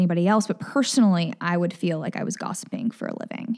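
A woman talks at a very fast pace at medium pitch, with a dark, mellow tone and an American accent. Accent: Southern US, toned down for work. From Memphis area, Tennessee. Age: 20s. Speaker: news reporter. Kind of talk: casual interview conversation.

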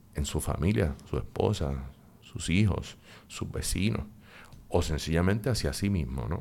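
Fairly slow and marked by vocal fry, a man's very deep, low voice swings very widely in pitch. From Puerto Rico. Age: 50s. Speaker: psychologist and professor. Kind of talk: interview.

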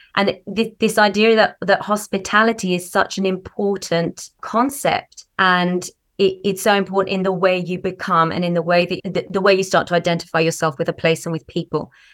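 A woman with a plain, everyday voice speaks at a moderate pace with hardly any pauses. Her medium pitch carries fairly even intonation over a very clean recording with a silent background. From Canada, Vancouver. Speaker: storyteller. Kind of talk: interview chat.

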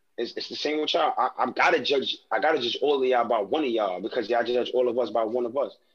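A man with a New York accent races along at a very fast pace with hardly any pauses. His pitch is medium, with ordinary variation. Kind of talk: casual chat. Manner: animated.

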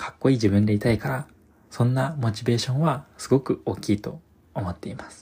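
Medium-pitched male voice, somewhat breathy, with a dark, mellow tone and ordinary pitch variation. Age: 20s. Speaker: podcast host. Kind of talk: solo monologue. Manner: formal.

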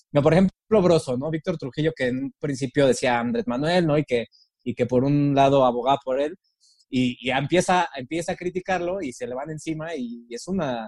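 Here is a man with a normal speaking voice, fairly high in pitch. His pace is moderate, his pitch variation ordinary, and the sound dry and close with no echo. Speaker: podcast host. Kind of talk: casual chat.

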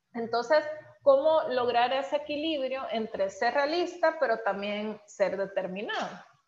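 A woman with a Salvadoran accent speaks in a high voice. Her intonation is lively and her pace fairly slow. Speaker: podcast host. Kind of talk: interview.

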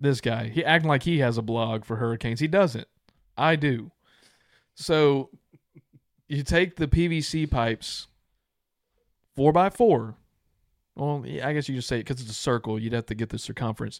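In an American accent, a man of medium pitch speaks at a moderate pace with ordinary pitch variation and long, frequent pauses. The sound is dry and close, with no echo. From Texas/Louisiana border region. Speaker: podcast co-host. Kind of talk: casual chat. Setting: video recording studio.

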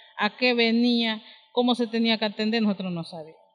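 Fairly quick in pace, a woman talks in an unremarkable speaking voice. Her pitch is fairly high, with ordinary pitch variation. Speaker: community leader, lodge co-founder. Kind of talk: interview.

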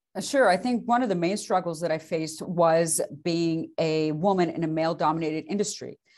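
The speech runs at a fairly quick pace with hardly any pauses. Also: woman, fairly low pitch for a woman, ordinary pitch variation. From immigrant to US at seven, raised in Beaumont, Texas. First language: non-English. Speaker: lender. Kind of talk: interview.

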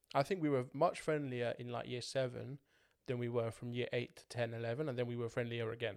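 This man uses a normal speaking voice with a medium pitch. His intonation is fairly even. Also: fairly quick pace. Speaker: podcast host. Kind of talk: casual chat.

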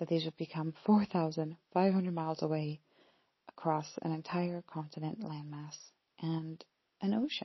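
A woman with an American accent speaks at a fairly low pitch and a fairly slow pace. Her voice is somewhat breathy, with fairly even intonation. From US Pacific Northwest. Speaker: podcast host and coach, former university lecturer. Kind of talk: solo podcast monologue, reflective.

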